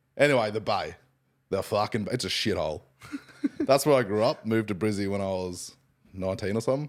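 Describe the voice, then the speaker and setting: With an Australian accent, a man of fairly low pitch speaks very fast with ordinary pitch variation, broken by long, frequent pauses. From Queensland, Australia (Hervey Bay). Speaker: podcast co-host. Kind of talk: casual chat.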